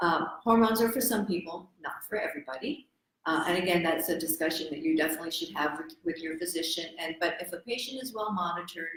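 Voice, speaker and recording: A woman with an American accent, fairly low-pitched, lively in her intonation and talking at a very fast pace. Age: 60s. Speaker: medical doctor. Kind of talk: health talk show. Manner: hesitant with fillers.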